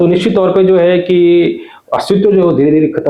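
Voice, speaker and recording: A man talks at a moderate pace. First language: Garhwali (speaking Hindi). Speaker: journalist. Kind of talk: interview.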